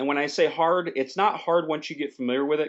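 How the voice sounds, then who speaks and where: This man has a fairly high pitch. His pitch varies in an ordinary way. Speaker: online business trainer. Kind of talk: tutorial. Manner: fast.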